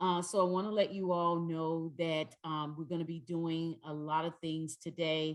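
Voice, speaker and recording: A woman with a fairly low voice talks at a moderate pace in a monotone, flat delivery with hardly any pauses. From North Carolina, US South. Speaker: trainer. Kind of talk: training workshop. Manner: loud.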